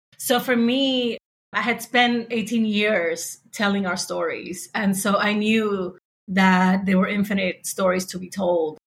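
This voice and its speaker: At a fairly slow pace, a woman speaks in a somewhat breathy, medium-pitched voice. Her intonation stays fairly even. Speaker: podcasting entrepreneur. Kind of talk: panel discussion.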